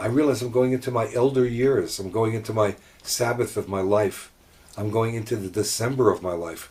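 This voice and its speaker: Moderate pace from a man at medium pitch, somewhat breathy, with fairly even intonation. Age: 70s. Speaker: rabbi. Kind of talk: casual chat.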